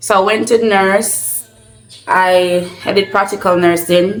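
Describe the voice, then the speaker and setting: A woman speaks with a Jamaican accent at a medium pitch. Music plays in the background. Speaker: vlogger. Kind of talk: casual Q&A vlog.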